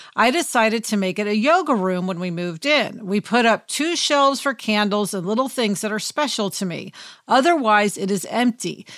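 Speaking with an American accent and an ordinary speaking voice, a woman talks at a moderate pace with fairly high pitch, lively intonation and hardly any pauses. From Kansas City, US Midwest. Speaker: podcast co-host and TV writer. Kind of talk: casual chat.

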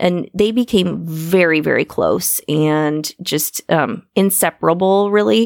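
With an Upper Midwest accent and a fairly low pitch, a woman speaks with ordinary pitch variation and hardly any pauses, the sound dry and close with no echo. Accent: Upper Midwest American. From US Midwest, Iowa. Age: 40s. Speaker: podcast host. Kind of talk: casual interview. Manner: slow; over-enunciates.

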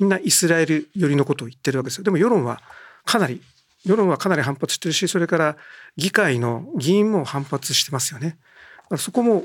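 On a very clean recording with a silent background, a man with a high pitch speaks at a fairly quick pace with lively intonation. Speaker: newspaper political journalist. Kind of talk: political discussion.

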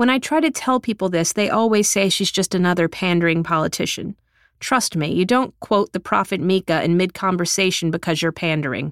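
This woman has a normal speaking voice and an American accent, at a medium pitch with ordinary pitch variation and a fairly quick pace. Her loudness stays very even, and the sound is dry and close with no echo, on a very clean recording with a silent background. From South Texas. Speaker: journalist and author. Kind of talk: reading aloud from her book; interview conversation.

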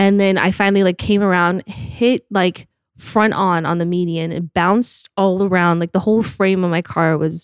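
An unremarkable speaking voice from a woman with an American accent, medium in pitch, moderate in pace and fairly even in intonation, on a very clean recording with a silent background and a dry, close sound with no echo. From Utah. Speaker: podcast host. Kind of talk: casual chat.

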